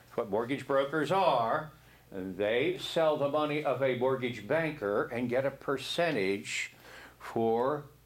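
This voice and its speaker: Very slow, lively intonation in an American accent, with audible room echo. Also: man. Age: 70s. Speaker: real estate instructor. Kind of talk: classroom lecture. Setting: classroom. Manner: conversational, frequent 'okay?' and 'see?'.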